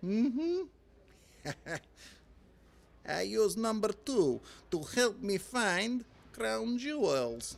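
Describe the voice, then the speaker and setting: The speaker does a put-on character voice at a fairly high pitch. Delivery is very slow. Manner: pompous, comic.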